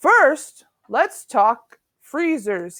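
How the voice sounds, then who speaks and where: A woman puts on a character voice, high in pitch with very wide pitch swings. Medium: read story. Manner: long-winded, lecturing.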